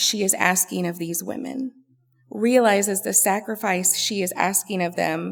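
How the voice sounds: With ordinary pitch variation, the delivery is a natural reading voice.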